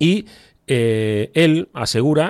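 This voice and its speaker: A man speaks with lively, bouncing intonation. The recording is very clean, with a silent background. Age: 50s. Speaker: podcast host. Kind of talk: casual chat.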